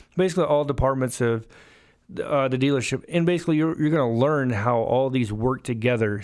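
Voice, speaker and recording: On a very clean recording with a silent background, a man with a Southern US accent talks at a fairly quick pace, medium pitch and ordinary pitch variation. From US South, Alabama. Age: 30s. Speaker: car salesman and podcast host. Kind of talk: podcast monologue.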